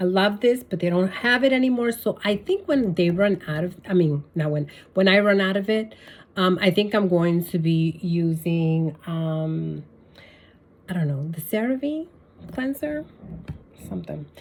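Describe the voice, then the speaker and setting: An unremarkable speaking voice, a woman's at medium pitch, with lively intonation and a fairly slow pace. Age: 60s. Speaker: beauty vlogger. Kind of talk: casual tutorial. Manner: casual, with many fillers.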